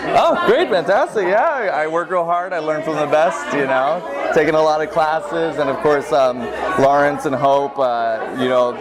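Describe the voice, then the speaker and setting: Amid crowd noise and audible room echo, a man with a fairly high voice talks at a moderate pace with ordinary pitch variation. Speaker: stage actor. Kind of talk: interview. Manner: animated.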